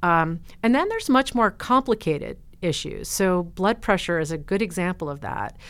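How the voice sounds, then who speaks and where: With an unremarkable speaking voice, a woman at medium pitch talks at a moderate pace with lively intonation, recorded very cleanly against a silent background. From US Northeast, New Jersey. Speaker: professor of family medicine. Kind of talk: interview.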